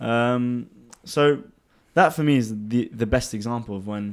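This man talks at a fairly slow pace. He has a London accent. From England (London). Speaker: finance executive. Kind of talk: casual chat.

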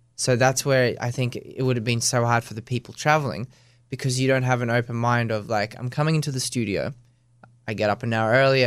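In an Australian accent, a man speaks at a fairly quick pace in a medium pitch with flat, monotone intonation. The recording is very clean, the background silent. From Australia, born in Russia. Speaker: professional ballroom dancer. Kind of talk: casual interview.

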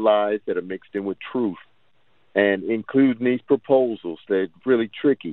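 At a moderate pace, a man with a plain, everyday voice speaks with ordinary pitch variation. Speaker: street and prison ministry preacher. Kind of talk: call-in question on radio. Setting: phone call.

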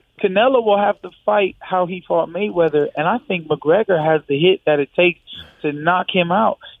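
Speaking at a moderate pace with an American accent, a man has a high pitch and ordinary pitch variation. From Michigan, US. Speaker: UFC fighter. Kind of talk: interview. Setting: phone call.

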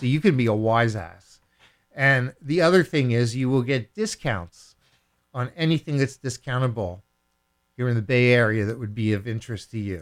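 A man speaks at a moderate pace in a medium pitch. He has an unremarkable speaking voice with ordinary pitch variation. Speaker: radio DJ. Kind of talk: self-mythologizing radio DJ patter, throwing to a song. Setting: radio studio. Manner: theatrical, playful showman with grandiose self-titles; jokey, mock-commanding toward listeners.

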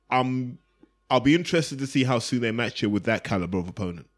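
A man with an English accent at a medium pitch and fairly quick pace, lively intonation throughout, on a very clean recording with a silent background. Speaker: boxing podcast co-host. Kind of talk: casual chat.

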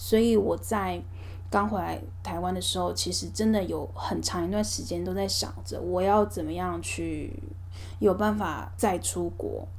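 There is audible room echo as a woman speaks with a Taiwanese accent. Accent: Taiwanese Mandarin. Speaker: podcast host. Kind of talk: casual monologue.

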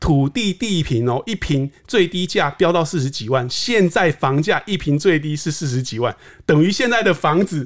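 In a normal speaking voice with a fairly high pitch, a man talks at a moderate pace with hardly any pauses, recorded very cleanly against a silent background. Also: lively intonation. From southern Taiwan. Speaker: real estate market analyst. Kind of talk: casual interview chat.

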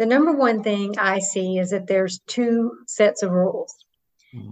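A woman's medium-pitched, an ordinary speaking voice, with fairly even intonation. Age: 50s. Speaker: HR executive. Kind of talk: interview.

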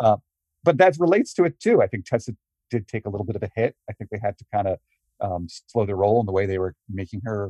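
A man's fairly low-pitched, somewhat breathy voice with a dark, mellow tone, ordinary pitch variation, a very fast pace and big swings in loudness, in a dry, close sound with no echo. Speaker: wrestling journalist guest. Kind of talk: interview answers.

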